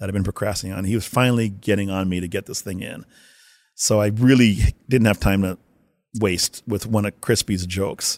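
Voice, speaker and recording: Quickly paced and fairly low-pitched, a man with a Canadian accent and an ordinary speaking voice keeps his intonation fairly even in a very clean, dry, close recording with no echo and a silent background. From Winnipeg, Canada. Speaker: hockey video coach. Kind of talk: interview storytelling.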